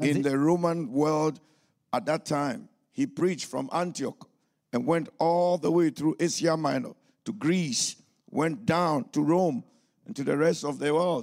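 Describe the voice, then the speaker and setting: A very slow, fairly high-pitched male voice with ordinary pitch variation and long, frequent pauses, on a very clean recording with a silent background. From Ghana. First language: English or a Ghanaian language, German learned later (speaking German). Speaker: pastor and missionary. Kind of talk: sermon. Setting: church service.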